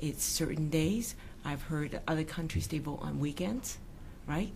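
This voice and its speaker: Audible room echo surrounds a woman's voice. She speaks at a moderate pace with a very deep, low pitch. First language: not English. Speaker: provincial politician. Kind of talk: political interview. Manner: halting.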